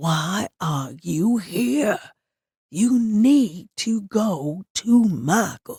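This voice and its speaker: A woman puts on a growling character voice at a medium pitch and speaks at a very slow pace. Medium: read story.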